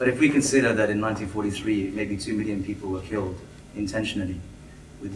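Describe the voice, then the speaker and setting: Light background noise and audible room echo accompany a man speaking fairly quickly at a fairly low pitch. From Bangladesh. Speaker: audience member. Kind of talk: audience question. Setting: public meeting with audience. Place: hall.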